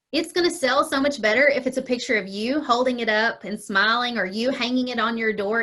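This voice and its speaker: A woman's fairly high voice, bright and sharp in tone, with a Kentucky accent. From Kentucky, Murray. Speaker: small business owner. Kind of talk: interview. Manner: casual, chatty.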